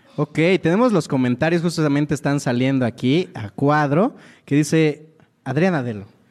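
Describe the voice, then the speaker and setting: In a very clean recording with a silent background, a man with a plain, everyday voice talks at a moderate pace and a fairly high pitch for a man. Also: ordinary pitch variation. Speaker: comedian co-host. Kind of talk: comedic casual chat.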